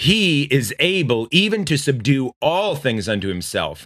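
Here a man speaks at a fairly high pitch with a bright, sharp tone. His pitch swings very widely. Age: 30s. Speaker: radio preacher. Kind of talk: sermon.

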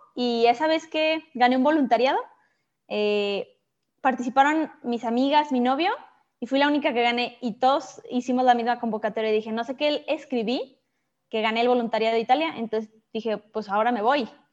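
A woman talks in a high pitch at a fairly quick pace. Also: ordinary pitch variation. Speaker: entrepreneur and architecture student. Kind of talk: interview.

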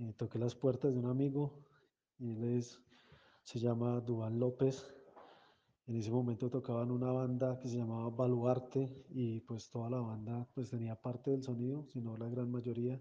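This man talks at a moderate pace and medium pitch. His intonation is monotone and flat. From Colombia. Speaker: music organization founder. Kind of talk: interview.

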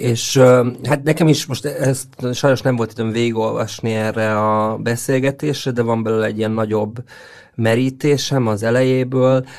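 A man at medium pitch, fairly slow, with fairly even intonation and a quiet background. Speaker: literary critic panelist. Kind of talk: casual discussion of children's books. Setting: studio.

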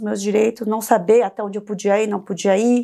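A woman speaks with a Korean accent. Her voice is fairly high-pitched with a dark, mellow tone. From South Korea, Seoul; in Brazil from age 11. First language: Korean (speaking Portuguese). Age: 40s. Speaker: compliance consultant, former prosecutor. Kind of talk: interview podcast.

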